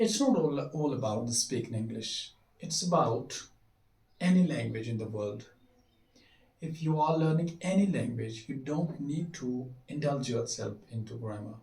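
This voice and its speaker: Somewhat breathy and dark, mellow in tone, a man speaks at a fairly slow pace with a medium pitch. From Kashmir. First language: Kashmiri. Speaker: English teacher. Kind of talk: tutorial. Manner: halting.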